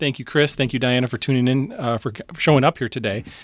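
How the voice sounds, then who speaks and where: An ordinary speaking voice, a man's at medium pitch, moves at a fairly quick pace with ordinary pitch variation, dry and close with no echo, on a very clean recording with a silent background. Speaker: podcast host, psychologist and youth coach. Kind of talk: casual chat.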